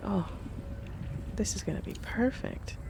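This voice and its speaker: A woman speaks softly. Music plays in the background. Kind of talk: relaxed gameplay commentary for sleep. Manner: soft-spoken, quiet.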